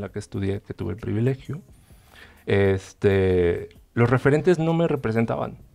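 Faint music plays in the background as the voice moves at a fairly slow pace with lively intonation. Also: man. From Chiapas, Mexico. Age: 30s. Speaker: painter; guest. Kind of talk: panel discussion. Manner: halting, many repetitions. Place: studio. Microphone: headset.

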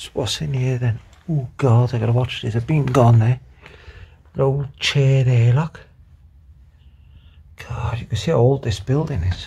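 Somewhat breathy and dark, mellow in tone, a man speaks with ordinary pitch variation. He leaves long, frequent pauses. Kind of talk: casual vlog chat. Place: empty room. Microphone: phone near.

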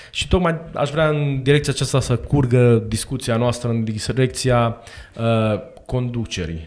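At a moderate pace, a man is talking. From Romania. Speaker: co-host, church catechism teacher. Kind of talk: casual interview chat. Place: studio. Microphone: studio mic.

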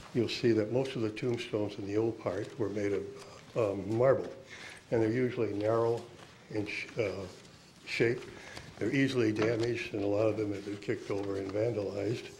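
Over noticeable background noise, a man with a fairly low pitch speaks at a fairly quick pace in a monotone, flat way. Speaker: resident making public comment. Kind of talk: public comment at meeting. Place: hall. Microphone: podium.

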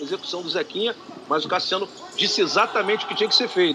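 A high-pitched man's raised, projected voice with lively intonation and noticeable background noise. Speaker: color commentator. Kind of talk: live commentary.

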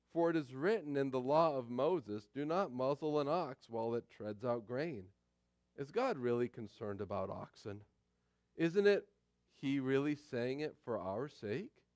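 A man talks at a moderate pace with a dry sound that has no echo, over a quiet background. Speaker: pastor. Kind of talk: sermon scripture reading. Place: church.

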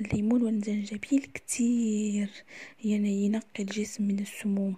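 A woman with an Algerian accent speaks at a moderate pace in a fairly high, somewhat breathy voice with a dark, mellow tone. Her intonation stays flat and monotone. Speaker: cooking YouTuber. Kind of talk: casual tips video.

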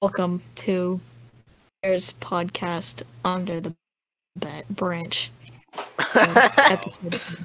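A woman's bright, sharp tone at a very slow pace, with long, frequent pauses and big swings in loudness. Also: medium pitch for a woman, ordinary pitch variation. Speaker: podcast co-host. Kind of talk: casual chat. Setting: video call.

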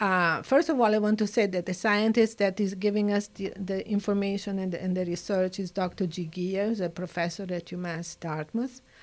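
With an Italian accent, a woman speaks at a medium pitch with hardly any pauses. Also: moderate pace. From Italy. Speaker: nature conservationist. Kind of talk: interview. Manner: animated. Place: studio. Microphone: studio mic.

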